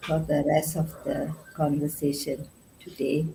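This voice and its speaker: The voice has a dark, mellow tone and is somewhat breathy. It moves at a very slow pace. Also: woman. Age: 60s. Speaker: summit panelist, retiree. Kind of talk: panel discussion.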